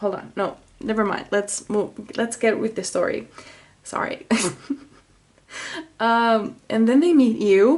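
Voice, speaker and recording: With a Finnish accent, a woman speaks very slowly in a fairly high pitch, her pitch varying in an ordinary way and her speech broken by long, frequent pauses. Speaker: tarot reader. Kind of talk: tarot reading. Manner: halting; casual.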